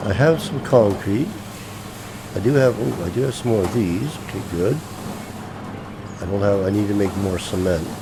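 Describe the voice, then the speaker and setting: A man with a fairly low pitch speaks at a moderate pace with lively intonation and long, frequent pauses. Audible room echo and noticeable background noise fill the recording. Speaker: gaming video creator. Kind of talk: gameplay commentary. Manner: mumbling to himself; halting, many fillers.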